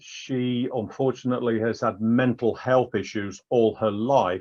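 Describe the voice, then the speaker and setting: Over a quiet background, a man speaks very slowly at a medium pitch. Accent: English. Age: 60s. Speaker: patient advocate with prostate cancer. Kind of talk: interview testimony. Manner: halting, with repetitions.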